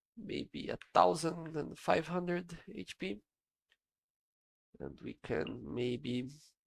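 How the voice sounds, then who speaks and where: With a dry, close sound and no echo, a man speaks at a very slow pace in a fairly high voice, using lively intonation, vocal fry, big swings in loudness and long, frequent pauses. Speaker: game tutorial creator. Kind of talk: screen-recorded software tutorial narration.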